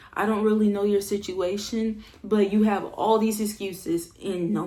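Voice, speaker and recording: A woman's dark, mellow, somewhat breathy voice at a medium pitch and a moderate pace. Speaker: self-improvement vlogger. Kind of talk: motivational talk. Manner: calm, relaxed; casual, slangy.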